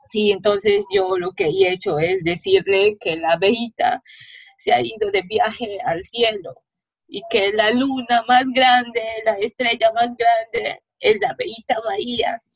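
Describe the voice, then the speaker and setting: With a Peruvian accent, a woman speaks at a fairly slow pace with lively intonation, in a dry, close sound with no echo. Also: fairly high pitch for a woman. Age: 20s. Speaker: bereaved daughter of a femicide victim. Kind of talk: testimony. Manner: halting.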